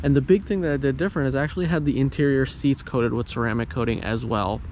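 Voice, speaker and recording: Using lively intonation, a man talks very fast in a medium pitch. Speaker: car YouTuber. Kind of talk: vlog.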